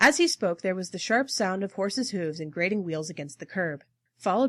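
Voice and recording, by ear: The intonation is lively as the text is read aloud in a natural voice. Little else is heard behind it, as the background is quiet.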